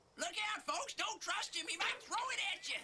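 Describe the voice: A cartoonish character voice at an extremely high pitch moves at a moderate pace.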